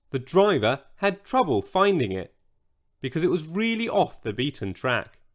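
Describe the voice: A quiet background behind plain reading aloud.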